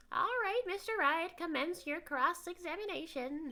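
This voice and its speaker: An extremely high-pitched, squeaky put-on character voice speaks at a moderate pace. Light background noise is present. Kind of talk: courtroom speech. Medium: game stream.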